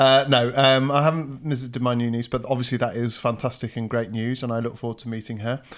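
With an English accent, a man speaks at a very fast pace and medium pitch, hardly pausing, in a flat, monotone delivery. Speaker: host's husband. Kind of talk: casual chat.

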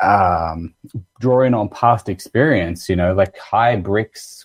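A man speaks in an Australian accent, his pitch fairly low and somewhat breathy. His pitch varies in an ordinary way, and the sound is dry and close with no echo. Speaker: winemaker. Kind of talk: casual interview chat.

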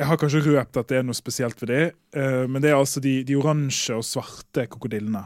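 A man with an unremarkable speaking voice talks fairly quickly at medium pitch, keeping his intonation fairly even. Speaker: chemist. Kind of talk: casual chat. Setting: studio.

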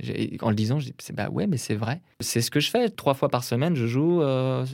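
On a very clean recording with a silent background, an unremarkable speaking voice goes at a fairly quick pace, its pitch varying in an ordinary way. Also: man. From Brittany, France. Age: 30s. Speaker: painter. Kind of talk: casual interview conversation.

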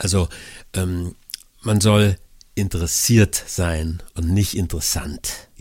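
At a very slow pace, a man speaks in a very deep, low, somewhat breathy voice with fairly even intonation. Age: 60s. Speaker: podcast co-host, life-simplification expert. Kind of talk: casual chat. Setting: remote connection.

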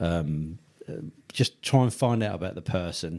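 In a southern English accent, a man speaks at a moderate pace. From Tunbridge Wells, Kent, England. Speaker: funeral business owner. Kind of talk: interview. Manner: hesitant, many fillers.

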